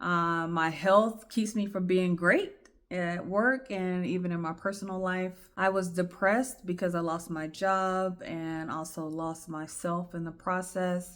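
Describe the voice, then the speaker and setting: A woman with a medium-pitched, shaky voice talks at a fairly slow pace with hardly any pauses and fairly even intonation. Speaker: podcast host sharing personal story. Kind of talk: personal testimony monologue. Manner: shaky, emotional.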